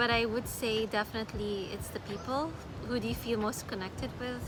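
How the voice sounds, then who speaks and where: Amid noticeable background noise and audible room echo, a woman with a medium pitch speaks at a moderate pace in a Filipino accent. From Philippines, Manila. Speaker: travel vlogger. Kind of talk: casual vlog talk. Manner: halting with fillers.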